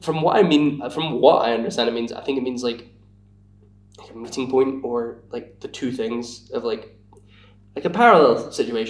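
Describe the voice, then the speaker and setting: Speaking at a moderate pace, a man with a Scottish accent uses ordinary pitch variation. His loudness swings widely. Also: medium pitch for a man. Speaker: podcast guest. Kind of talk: casual chat. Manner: halting.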